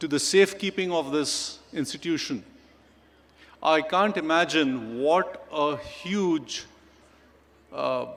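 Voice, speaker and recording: In a Pakistani accent, a man talks at a very slow pace with long, frequent pauses, a fairly high pitch and ordinary pitch variation. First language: Urdu. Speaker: chief guest speaker. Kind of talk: ceremonial speech.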